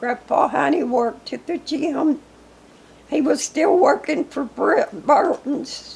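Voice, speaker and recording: A woman speaks very slowly in a high voice with an Arkansas accent. Her pitch varies in an ordinary way over noticeable background noise. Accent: US Southern (Arkansas). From Arkansas, near Newport. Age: 80s+. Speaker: local elder interviewed about history. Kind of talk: oral history interview.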